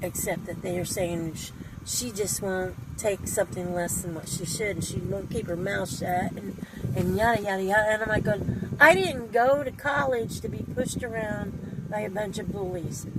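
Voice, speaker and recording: A woman with an American accent speaks at a moderate pace and medium pitch, her intonation varying in an ordinary way, with noticeable background noise and audible room echo. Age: 60s. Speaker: vlogger. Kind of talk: personal monologue. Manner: animated.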